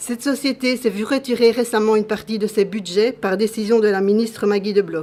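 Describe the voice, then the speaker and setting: With an ordinary speaking voice, a woman speaks fairly quickly at a fairly high pitch and with fairly even intonation. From Belgium. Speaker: patient advocate. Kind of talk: formal statement at public hearing. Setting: public hearing. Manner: formal.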